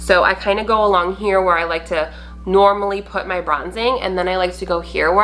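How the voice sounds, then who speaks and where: With music playing in the background, a woman speaks in an energetic tone at a fairly quick pace. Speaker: beauty vlogger. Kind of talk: tutorial. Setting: home video recording. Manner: loud; energetic, brisk.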